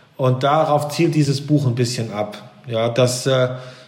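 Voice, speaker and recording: The speech moves at a fairly slow pace with fairly even intonation, amid audible room echo and noticeable background noise. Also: man. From East Frisia, northern Germany. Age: 40s. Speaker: business executive and author. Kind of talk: interview. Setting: video call.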